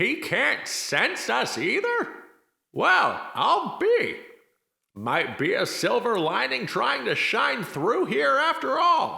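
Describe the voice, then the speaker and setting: Using a put-on character voice, a man speaks at a very slow pace with audible echo. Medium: audio drama. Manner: dry, sardonic.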